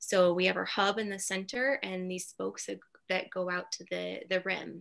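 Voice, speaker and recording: Against a quiet background, a woman talks at a fairly slow pace. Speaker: mindfulness coach. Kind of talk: guided meditation. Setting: video call. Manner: soft-spoken. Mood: calm, soothing. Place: home room. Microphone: webcam.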